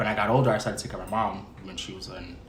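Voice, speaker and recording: A man talks over noticeable background noise, with audible room echo around his voice. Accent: New York. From New York, Mount Vernon. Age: 20s. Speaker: artist, rapper and actor. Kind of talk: casual interview.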